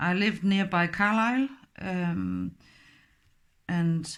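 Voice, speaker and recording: On a very clean recording with a silent background, a woman with a Danish accent speaks at medium pitch. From Denmark. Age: 50s. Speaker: crafts tutorial maker. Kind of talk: tutorial. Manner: halting.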